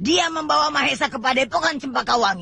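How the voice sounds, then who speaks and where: A man puts on a character voice at an extremely high pitch. His pitch swings very widely as he talks fairly quickly. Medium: audio drama. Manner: commanding, imperious.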